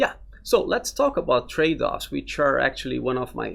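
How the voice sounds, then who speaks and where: A man with a Portuguese accent at a moderate pace. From Brazil. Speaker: interviewer, academic lecturer. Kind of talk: interview.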